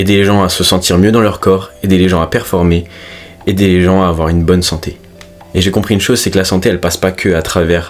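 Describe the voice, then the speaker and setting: A man with a very deep, low voice speaks at a very fast pace in a monotone, flat intonation, with noticeable background noise. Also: very even loudness. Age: 20s. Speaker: fitness coach and self-improvement youtuber. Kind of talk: casual vlog monologue. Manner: natural, unpolished.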